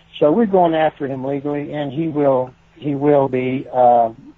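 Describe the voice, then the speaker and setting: A man with a fairly high pitch talks at a fairly slow pace and fairly even intonation, with noticeable background noise behind him. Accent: American. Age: 70s. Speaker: bereaved parent and gun violence prevention activist. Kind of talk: interview. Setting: radio show.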